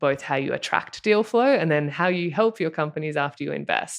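Against a quiet background, a woman talks with an Australian accent. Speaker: former pro athlete and venture partner. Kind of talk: casual interview.

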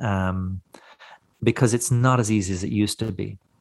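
A man talks at a moderate pace with a fairly low pitch. His intonation is fairly even, and the background is quiet. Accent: Cork. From Ireland, West Cork. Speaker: smoked meat producer and knife maker. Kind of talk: interview. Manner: halting, many repeated words.

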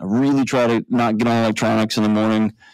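A man's very fast speech at medium pitch with fairly even intonation, dry and close with no echo, on a very clean recording with a silent background. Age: 40s. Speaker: mental health expert and author. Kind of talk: interview. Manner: casual.

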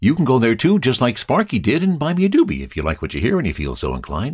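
A man speaks with a Canadian accent and vocal fry, his pitch swinging very widely. The recording is very clean, with a silent background. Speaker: podcast host and cannabis enthusiast. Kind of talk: casual podcast monologue.

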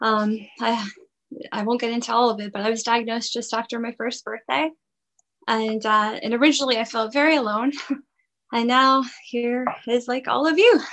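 This woman's fairly high pitch carries through her moderate pace. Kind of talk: poetry reading, clipped rhythmic verse.

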